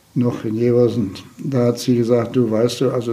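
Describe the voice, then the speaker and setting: A man talks in a mid-range pitch, neither fast nor slow. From Province of Posen (former eastern Germany), raised in Lower Saxony from age 8. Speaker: retired volunteer fire chief. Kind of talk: interview.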